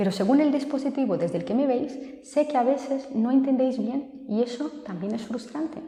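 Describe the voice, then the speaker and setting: A soft-spoken woman, fairly high in pitch, at a moderate pace, with audible room echo. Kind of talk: video tutorial.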